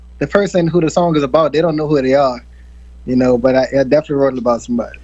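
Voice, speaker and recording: A man with a fairly high pitch talks at a very fast pace with ordinary pitch variation. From New Orleans, Fifth Ward (Treme). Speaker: R&B singer. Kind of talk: interview.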